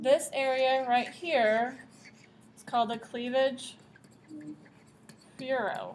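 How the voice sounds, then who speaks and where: A woman speaks very slowly in a high, flat monotone. Long pauses come often, and the room echo is audible. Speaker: science teacher. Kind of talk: lecture.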